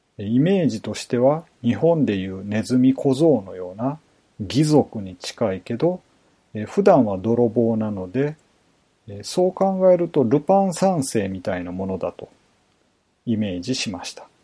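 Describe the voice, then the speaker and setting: Medium in pitch, this man's dark, mellow voice makes very wide pitch swings. He speaks at a fairly slow pace with big swings in loudness. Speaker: true crime podcaster. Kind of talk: scripted narration. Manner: formal.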